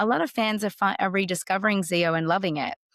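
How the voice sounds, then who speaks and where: In an Australian accent, a woman talks at a moderate pace, with a dry, close sound, no echo, and a very clean recording over a silent background. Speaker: actress, voice actor. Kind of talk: interview answer.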